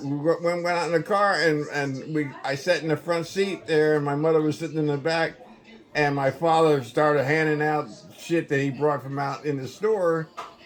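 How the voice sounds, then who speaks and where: A man with an American accent speaks at a fairly high pitch over noticeable background noise. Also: moderate pace. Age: 80s+. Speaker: family elder telling life stories. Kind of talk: casual chat. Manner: animated.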